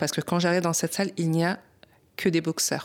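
Recorded very cleanly with a silent background, a woman speaks at a fairly low pitch. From Paris, France. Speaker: boxer, champion. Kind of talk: testimony.

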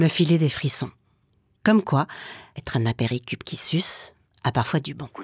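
In a dry, close sound with no echo, a woman with a very deep, low pitch and a somewhat breathy voice speaks with long, frequent pauses. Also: lively intonation, moderate pace, very clean recording, silent background. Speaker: radio documentary maker. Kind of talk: scripted narration.

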